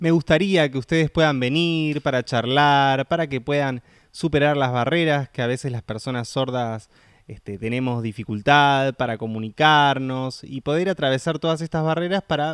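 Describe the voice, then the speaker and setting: In a dry, close recording with no echo, a man speaks at a fairly high pitch with ordinary pitch variation. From Buenos Aires, Argentina. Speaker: deaf film worker and festival organizer. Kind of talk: interview. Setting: studio.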